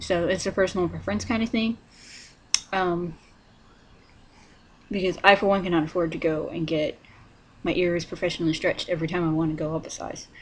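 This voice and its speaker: The voice is soft-spoken, with ordinary pitch variation and a fairly quick pace. Long, frequent pauses break up the speech. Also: woman, fairly low pitch for a woman. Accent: American. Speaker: vlogger. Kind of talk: casual tutorial vlog. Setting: at home, partner sleeping nearby. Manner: quiet, soft-spoken; hesitant, many fillers.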